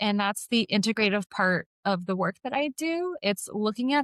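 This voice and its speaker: A woman in a normal speaking voice talks at medium pitch and a moderate pace with ordinary pitch variation, the sound dry and close with no echo in a very clean recording with a silent background. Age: 20s. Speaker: podcast co-host and health coach. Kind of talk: casual podcast conversation.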